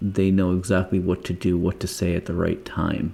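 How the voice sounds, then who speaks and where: Very deep, low male voice, dark and mellow in tone, at a fairly slow pace. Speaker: podcast co-host, former EMT. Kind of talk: casual podcast conversation.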